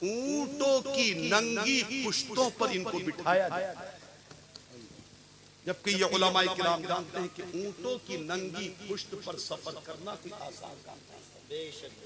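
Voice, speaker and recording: A man speaks in a raised, projected voice with ordinary pitch variation. Noticeable background noise can be heard. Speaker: Islamic preacher. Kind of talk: religious sermon.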